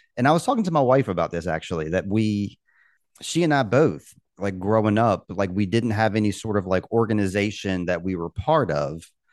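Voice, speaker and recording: With an American accent and a normal speaking voice, a man with fairly low pitch talks at a fairly quick pace with lively intonation against a quiet background. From Virginia, US (Richmond). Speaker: guitarist and podcast host. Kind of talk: casual chat.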